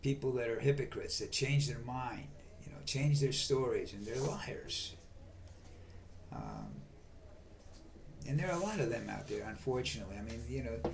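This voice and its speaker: With long, frequent pauses, a man speaks at a moderate pace in a room with audible echo. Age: 70s. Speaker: video blogger. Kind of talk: political monologue. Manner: halting.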